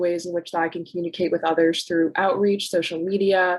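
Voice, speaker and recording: Here is a woman with a fairly low pitch. She has a normal speaking voice. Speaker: college student and legal nonprofit intern. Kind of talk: prepared talk at a virtual panel event.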